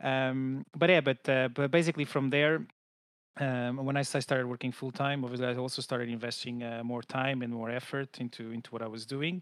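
Here a man speaks with a Portuguese accent. His pitch is medium and his pace fairly quick. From Portugal, Lisbon. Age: 30s. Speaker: customer support manager. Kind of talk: interview.

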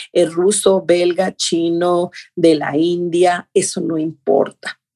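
A dark, mellow tone with fairly even intonation comes through in a dry, close sound with no echo. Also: woman. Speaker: ballet teacher and choreographer. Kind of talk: interview.

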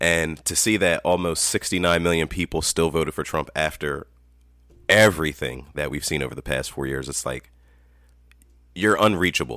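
A man's very deep, low voice has vocal fry and a bright, sharp tone, captured in a very clean recording with a silent background. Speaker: podcast guest. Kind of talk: casual chat.

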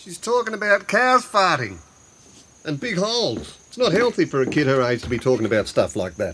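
This put-on character voice has a bright, sharp tone, big swings in pitch and a slightly husky edge. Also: man, fairly high pitch for a man, moderate pace.

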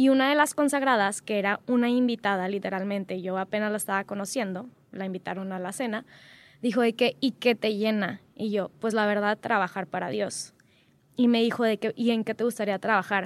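Fairly quick and fairly high-pitched, a woman with an unremarkable speaking voice and ordinary pitch variation is heard in a dry, close, echo-free sound on a very clean recording with a silent background. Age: 20s. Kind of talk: casual interview.

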